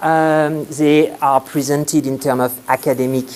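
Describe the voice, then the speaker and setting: Noticeable background noise behind a man with a French accent. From France. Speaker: sociology lecturer and PhD student. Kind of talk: conference presentation. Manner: halting, many fillers.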